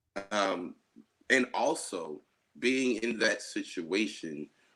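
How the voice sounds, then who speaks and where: Music plays in the background as a man with an American accent speaks at a very slow pace with lively intonation. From New Jersey, USA. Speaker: poet, spoken word artist. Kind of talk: interview answer.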